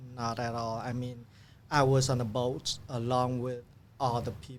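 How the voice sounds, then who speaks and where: Someone speaks at a fairly slow pace with a Vietnamese accent and monotone, flat intonation. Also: man, medium pitch for a man. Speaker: refugee turned businessman. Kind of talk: podcast interview. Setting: studio. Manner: halting with fillers.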